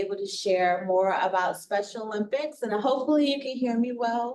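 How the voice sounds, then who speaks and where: Ordinary pitch variation and a moderate pace mark this woman's speech. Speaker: nonprofit vice president, guest presenter. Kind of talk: presentation. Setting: meeting room with mics. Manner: trying to project loudly.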